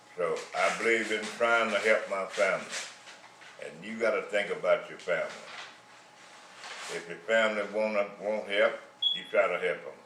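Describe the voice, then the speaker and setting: A man at a moderate pace, with big swings in loudness and long, frequent pauses, amid noticeable background noise and audible room echo. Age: 80s+. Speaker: retiree sharing life advice. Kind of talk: monologue.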